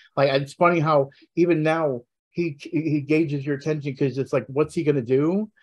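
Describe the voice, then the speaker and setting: Very fast delivery broken up by long, frequent pauses. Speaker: wrestling podcast panelist. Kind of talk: casual chat. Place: home room. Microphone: video call.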